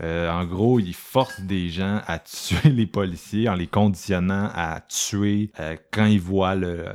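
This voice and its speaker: In a Quebec accent, a man with a very deep, low pitch talks at a very slow pace and with fairly even intonation, on a very clean recording with a silent background. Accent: Québécois French. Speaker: horror film podcast host. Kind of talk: casual chat.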